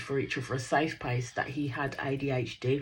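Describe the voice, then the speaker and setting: A woman speaks with a Birmingham accent in an animated tone. Her voice is somewhat breathy, and her pace is moderate. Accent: Brummie. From Birmingham, England. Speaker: reality TV reaction YouTuber. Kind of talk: casual recap commentary.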